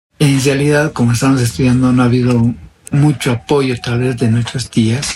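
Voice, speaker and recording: With noticeable background noise, a man talks at a medium pitch and moderate pace, his intonation fairly even and his loudness very even. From Bolivia, northern Potosí mining area. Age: 40s. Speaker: interviewee sharing his life story. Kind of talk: personal testimony interview. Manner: halting.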